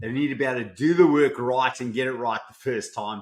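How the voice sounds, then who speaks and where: A man with a South African accent talks at a fairly quick pace in a medium pitch. The recording is very clean, with a silent background. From South Africa, Johannesburg. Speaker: business coach. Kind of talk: podcast interview.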